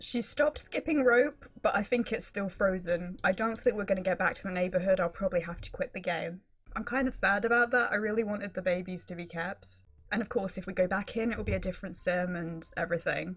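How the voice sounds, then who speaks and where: A woman's medium-pitched voice at a fairly quick pace over music in the background. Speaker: gaming YouTuber. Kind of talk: gameplay commentary. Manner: fast.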